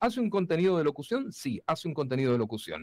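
A man at a very fast pace with very wide pitch swings, in a dry sound with no echo and a quiet background. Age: 40s. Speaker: voice-over announcer. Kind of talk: casual interview chat. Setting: remote video call from his studio.

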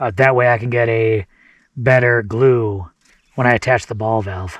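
A man speaks at a moderate pace with ordinary pitch variation. The sound is dry with no echo, over a quiet background. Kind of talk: casual vlog chat. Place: open country. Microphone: phone near.

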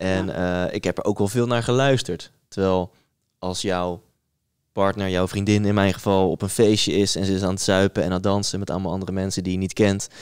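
Against a quiet background, a man with a very deep, low voice speaks in a monotone, flat intonation at a fairly quick pace. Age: 30s. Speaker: podcast host. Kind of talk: casual chat. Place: studio. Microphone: studio mic.

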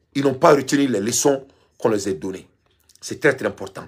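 An animated tone in a Malian accent, at a moderate pace, on a very clean recording with a silent background. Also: man. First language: Bambara (speaking French). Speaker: online commentator. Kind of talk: monologue commentary.

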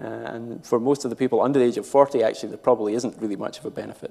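Talking at a very fast pace in a Scottish accent, a man has a dark, mellow tone at a medium pitch, with vocal fry, a slightly husky edge and fairly even intonation.

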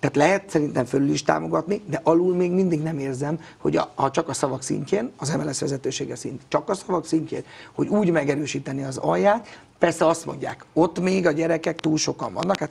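The speaker talks with hardly any pauses, showing vocal fry. Pitch variation is ordinary. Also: man. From Hungary. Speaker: youth football coach. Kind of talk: interview. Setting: studio. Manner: outspoken; halting. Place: studio. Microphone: lapel.

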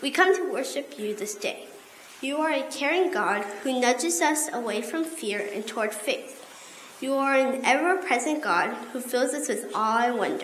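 Lively intonation and high pitch mark this woman's voice at a fairly slow pace. Light background noise and audible room echo are present. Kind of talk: liturgical prayer and announcements. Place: church. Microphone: podium.

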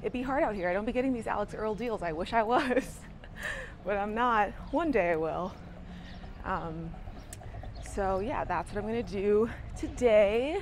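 A woman speaks with lively intonation at a moderate pace, leaving long, frequent pauses. Light background noise is present, and the sound is dry with no echo. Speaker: vlogger. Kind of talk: casual vlog chat. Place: street. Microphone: lapel.

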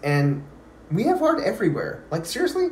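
A man speaks with an American accent. There is audible room echo. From Texas. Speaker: realtor. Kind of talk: sales pitch.

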